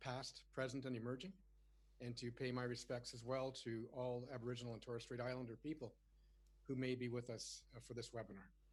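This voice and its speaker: Somewhat breathy and monotone, with flat intonation, the speech moves at a fairly quick pace. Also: man, medium pitch for a man. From Canada. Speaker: webinar moderator, retired naval officer. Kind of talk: panel moderation. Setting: webinar. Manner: frequent fillers, uh and um.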